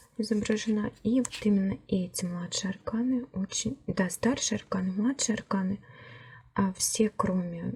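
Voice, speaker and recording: The voice is an ordinary speaking voice. It moves at a fairly slow pace. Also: woman. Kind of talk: tarot deck review, casual talk to camera. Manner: soft-spoken.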